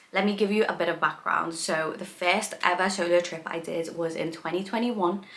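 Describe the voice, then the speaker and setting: With a British accent, a woman talks at a fairly quick pace with fairly even intonation and hardly any pauses, amid noticeable background noise and audible room echo. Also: fairly low pitch for a woman. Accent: British accent that surprises people. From England, Liverpool. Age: 20s. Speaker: food and travel content creator. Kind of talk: casual vlog talk to camera. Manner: chatty, informal.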